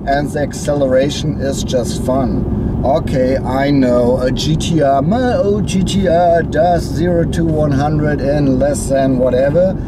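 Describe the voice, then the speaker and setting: Speaking with a strong German accent, a man keeps his fairly high voice at a very even loudness and a fairly slow pace, with ordinary pitch variation, noticeable background noise and an audible room echo. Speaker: car reviewer. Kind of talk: car review. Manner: animated.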